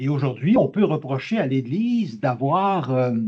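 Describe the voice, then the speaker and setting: A man with a fairly high, somewhat breathy voice speaks at a very slow pace. His intonation is lively. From Quebec. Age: 80s+. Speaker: audience member, retired doctoral graduate. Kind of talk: audience question at lecture. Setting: conference hall. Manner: halting.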